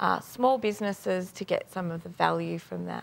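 At a moderate pace, a woman talks. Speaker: politician guest. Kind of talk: interview answer. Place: studio. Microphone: lapel.

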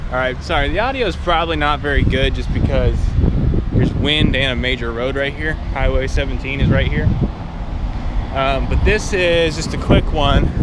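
Amid loud background noise, a man talks at a moderate pace with a dry sound and no echo. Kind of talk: casual vlog chat. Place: street. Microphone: phone near.

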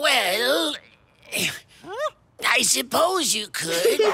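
A cartoonish character voice pitched high leaps through very wide pitch swings.

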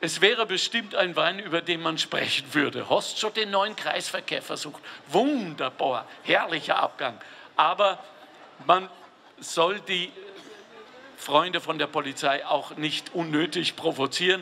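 A man speaks with a high pitch for a man. His pace is fairly slow, with long, frequent pauses. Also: ordinary pitch variation. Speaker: guest. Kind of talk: humorous public speech. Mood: jovial, joking. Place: street. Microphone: handheld.

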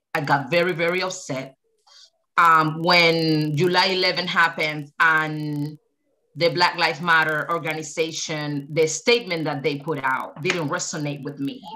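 A woman speaks at a moderate pace in a bright, sharp tone, her pitch very deep and low, with fairly even intonation over a quiet background. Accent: Spanish. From Cuba. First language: Spanish. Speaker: activist. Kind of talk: casual discussion. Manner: passionate, emphatic. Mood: upset, passionate. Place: home room.

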